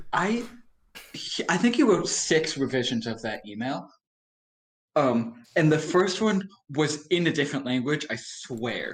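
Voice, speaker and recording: At a fairly slow pace with long, frequent pauses, a man speaks at a fairly high pitch with very wide pitch swings. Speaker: podcast guest. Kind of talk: casual chat. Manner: words run together.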